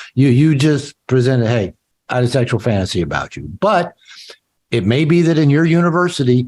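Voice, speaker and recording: This man talks at a fairly quick pace with a medium pitch. His voice is somewhat breathy, with very wide pitch swings. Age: 60s. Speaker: author and therapist. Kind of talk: interview.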